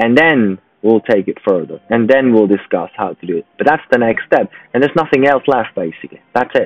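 The speaker goes at a fairly quick pace with lively intonation. The sound is dry with no echo, and faint music plays in the background. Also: man, medium pitch for a man. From Switzerland. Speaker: business networking founder and sales advisor; sales advisor. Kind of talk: solo advice talk to camera. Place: home room. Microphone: earbuds.

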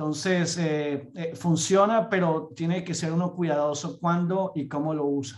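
A man's high-pitched voice at a fairly slow pace, fairly even in intonation and with hardly any pauses. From Colombia. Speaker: entomologist, pest management program director; presenter. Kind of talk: lecture. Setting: video call. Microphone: video call.

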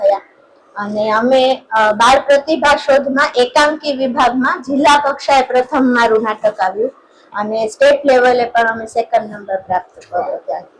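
A high-pitched woman's voice with ordinary pitch variation against noticeable background noise. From Gujarat, Jamnagar district. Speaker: writer and teacher. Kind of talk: interview.

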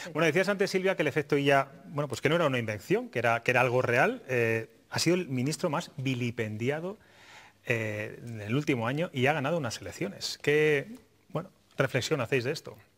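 An ordinary speaking voice, a man's fairly high pitch at a fairly quick pace with lively intonation. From Spain. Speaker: TV talk show host. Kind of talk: TV political talk show. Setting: TV studio. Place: studio. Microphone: lapel.

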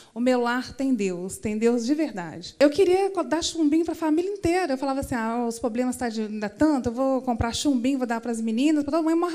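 Against a quiet background, a woman speaks in a high pitch with lively intonation. Her tone is dark and mellow. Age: 40s. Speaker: church member giving testimony. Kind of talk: testimony. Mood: earnest, emotional confession. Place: church. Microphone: handheld.

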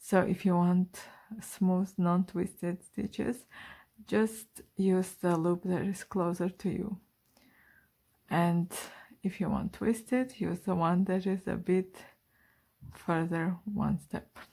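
At a slow pace, a woman with a fairly low voice speaks in a dark, mellow tone with a slightly husky edge, vocal fry and fairly even intonation.

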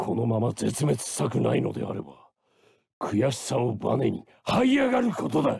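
In a put-on character voice, a man speaks raspy and at medium pitch, keeping a moderate pace. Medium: dub. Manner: growling, roaring, bombastic.

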